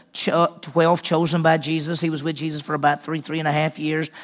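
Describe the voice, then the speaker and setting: At a fairly quick pace, a man with an unremarkable speaking voice talks at a fairly high pitch with fairly even intonation. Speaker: pastor. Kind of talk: sermon. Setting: church.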